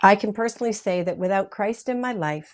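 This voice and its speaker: A woman with a normal speaking voice talks at medium pitch. Her pace is moderate, on a very clean recording with a silent background. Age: 60s. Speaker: talk show host, professional model. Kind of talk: faith-based talk show monologue. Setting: studio.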